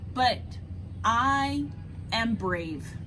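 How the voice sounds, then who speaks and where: Amid clear background noise, a woman performs a put-on character voice. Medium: read story.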